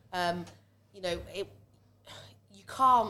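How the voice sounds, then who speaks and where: A woman's fairly low voice with vocal fry and a bright, sharp tone. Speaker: pub owner. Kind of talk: casual chat.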